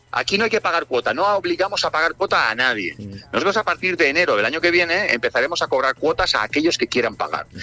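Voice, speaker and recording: Very fast, high-pitched speech from a man, with lively intonation and very even loudness, a dry, close sound with no echo and music in the background. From Spain, Barcelona. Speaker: DJ and music producer. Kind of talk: interview. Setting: remote line.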